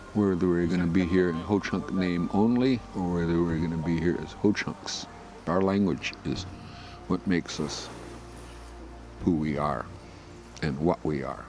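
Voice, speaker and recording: With music in the background, a man with a very deep, low pitch speaks at a moderate pace, leaving long, frequent pauses. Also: ordinary pitch variation. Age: old. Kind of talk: interview testimony. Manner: halting, many fillers.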